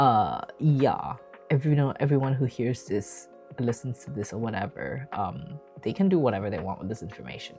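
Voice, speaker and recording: A woman with a Malaysian accent, very deep and low in pitch, fairly quick, with very wide pitch swings and music in the background. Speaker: physician and streamer. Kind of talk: casual live stream talk.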